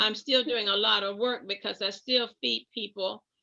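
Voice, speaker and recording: A woman's medium-pitched voice with vocal fry and fairly even intonation. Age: 80s+. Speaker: retired nurse and pastor. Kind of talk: oral history interview.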